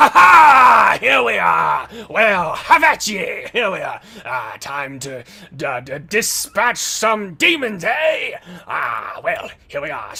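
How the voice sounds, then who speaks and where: Very slowly, the speaker delivers a put-on character voice at a fairly high pitch. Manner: jovial, eager, stuttering.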